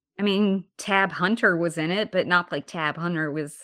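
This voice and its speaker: In a normal speaking voice, the talker keeps a moderate pace and ordinary pitch variation, with a quiet background behind. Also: woman. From Alabama, US South. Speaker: podcast host. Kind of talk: casual chat.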